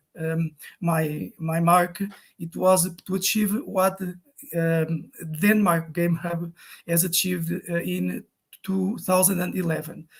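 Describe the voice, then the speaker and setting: Very slowly and with fairly even intonation, a man speaks in a high voice. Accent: Portuguese. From Portugal. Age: 50s. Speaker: game design teacher. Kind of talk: online talk. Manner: halting, many fillers and repetitions.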